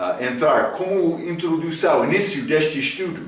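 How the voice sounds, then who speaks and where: Against audible room echo, a man with an English accent speaks at a very slow pace with lively intonation. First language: English (speaking Portuguese). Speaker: Bible teacher. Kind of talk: Bible study lecture. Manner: halting, with fillers.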